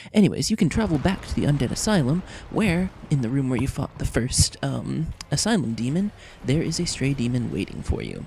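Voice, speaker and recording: A man's dark, mellow, somewhat breathy voice ranges through very wide pitch swings. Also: fairly high pitch for a man, fairly quick pace. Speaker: gaming video creator. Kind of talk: game walkthrough commentary. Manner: casual, many fillers.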